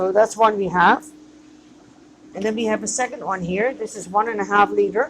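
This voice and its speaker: At a moderate pace and fairly high pitch, a woman talks with ordinary pitch variation and long, frequent pauses against noticeable background noise. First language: not English. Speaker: microgreens grower and business owner. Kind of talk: tutorial. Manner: hesitant, with fillers.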